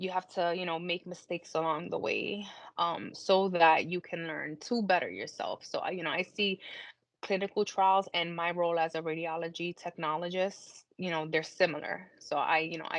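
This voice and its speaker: In an American accent, a woman with an ordinary speaking voice talks at a fairly low pitch and moderate pace, with fairly even intonation. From US Northeast, Brooklyn, New York. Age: 30s. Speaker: cancer patient, clinical trial participant. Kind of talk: interview testimony.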